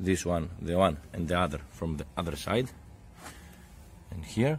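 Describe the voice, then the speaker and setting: Somewhat breathy speech with a Greek accent moves at a moderate pace with lively intonation. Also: man. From Greece. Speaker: DIY car repair youtuber. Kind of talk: tutorial. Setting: home garage. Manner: halting.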